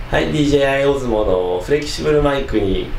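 A man speaks while noticeable background noise fills the recording. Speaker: gear reviewer. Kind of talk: tutorial. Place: home room. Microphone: camera far.

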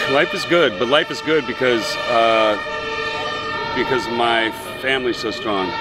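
A man with an American accent speaks at a fairly slow pace, with long, frequent pauses. The sound is dry with no echo, but loud background noise fills the recording. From San Francisco, USA. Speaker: actor. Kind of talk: interview answer. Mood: relaxed, friendly. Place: waterside.

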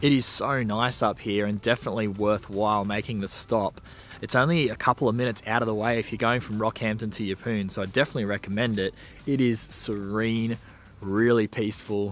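A man in a normal speaking voice, fairly quick, with fairly even intonation and light background noise. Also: fairly low pitch for a man, dry sound with no echo. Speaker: travel vlogger. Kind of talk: casual vlog chat. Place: open country. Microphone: phone near.

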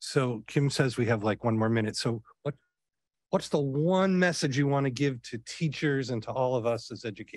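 A man with an unremarkable speaking voice, medium pitch and ordinary pitch variation at a moderate pace, dry with no echo over a quiet background. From Rochester, New York; New York. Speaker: event moderator. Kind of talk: introduction and Q&A moderation. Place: hall. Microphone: podium.

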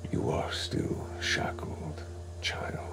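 A man's booming, put-on character voice over loud background noise. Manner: solemn, commanding.

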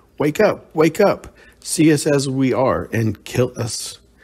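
A man's croaky, fairly high put-on character voice at a very slow pace

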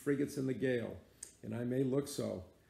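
Reading done in an unforced voice

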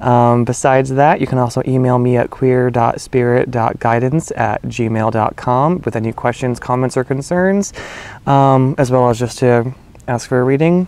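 A man at a fairly slow pace, fairly even intonation, dry sound with no echo. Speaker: spiritual reader. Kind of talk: casual vlog chat. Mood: warm, smiling. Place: garden. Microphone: phone near.

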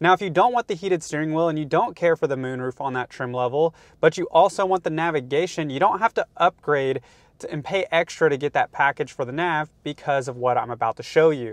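The sound is dry, with no echo. A man speaks with ordinary pitch variation. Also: fairly quick pace. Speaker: car channel host. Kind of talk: tutorial. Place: car. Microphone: lapel.

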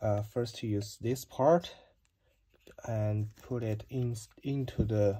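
The speaker talks at a very slow pace with a non-native accent. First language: not English. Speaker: DIY video maker. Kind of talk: tutorial. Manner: halting. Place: home room. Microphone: phone near.

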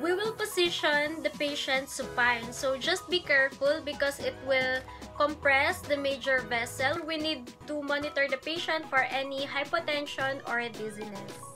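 The voice is raised and projected, moving at a moderate pace with hardly any pauses and ordinary pitch variation. Clear music plays in the background. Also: woman. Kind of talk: lecture. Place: home room. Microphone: phone near.

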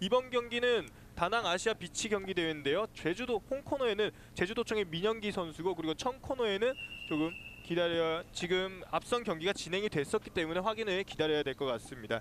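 A man's high-pitched voice, fairly quick and with lively intonation. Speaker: sports commentator. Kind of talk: live commentary. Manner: fast, excitable play-by-play delivery, calling each move as it happens; formal broadcast diction, with pauses to defer to the analyst.

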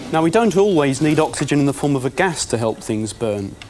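Talking at a fairly quick pace with a British accent, a man with a fairly high pitch is heard over light background noise. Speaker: chemistry presenter. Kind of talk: educational demonstration. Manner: formal, precise. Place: studio. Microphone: lapel.

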